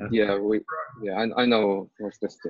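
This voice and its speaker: A fairly low-pitched man with a non-native accent, monotone, flat intonation and a dry, close sound with no echo. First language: not English. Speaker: student. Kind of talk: tutoring session.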